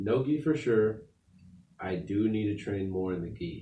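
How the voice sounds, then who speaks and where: There is audible room echo as a man with an American accent speaks in a dark, mellow tone. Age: 20s. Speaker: amateur MMA fighter. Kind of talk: casual chat. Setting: studio.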